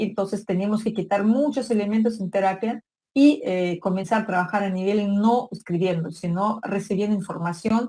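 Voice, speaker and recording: Her tone is dark and mellow, somewhat breathy, at a medium pitch. The woman keeps a moderate pace and fairly even intonation. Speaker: psychology lecturer. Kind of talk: online lecture.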